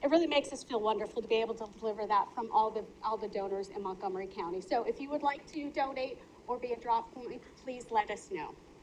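Speaking very fast, a woman uses a fairly high pitch with ordinary pitch variation. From US Midwest, Minnesota. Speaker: county official. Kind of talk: public meeting report. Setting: county board meeting.

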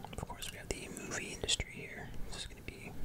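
Soft-spoken, very fast whispering over loud background noise. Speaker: presenter. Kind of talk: casual product commentary. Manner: soft close ASMR whisper.

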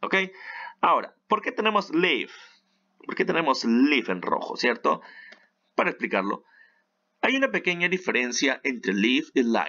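An animated man speaks at a high pitch with very wide pitch swings. He leaves long, frequent pauses. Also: moderate pace. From Peru. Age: 30s. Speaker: English teacher. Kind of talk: tutorial.

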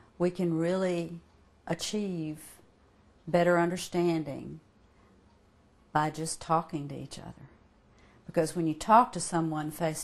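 Intonation stays fairly even as a woman speaks at a fairly slow pace. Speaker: interviewee. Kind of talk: interview answer. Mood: warm, earnest. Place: home room.

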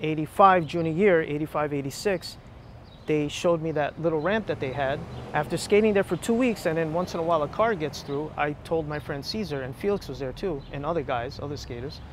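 Over noticeable background noise, a man talks at a moderate pace with ordinary pitch variation, the sound dry with no echo. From Union City, New Jersey; New Jersey. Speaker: former skateboarder; interviewee. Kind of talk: casual interview chat. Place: street. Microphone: lapel.

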